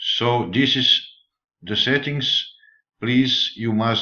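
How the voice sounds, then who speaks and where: At a very slow pace, a man with a non-native accent talks at a medium pitch with fairly even intonation. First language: not English. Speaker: forex trader. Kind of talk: tutorial. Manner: halting.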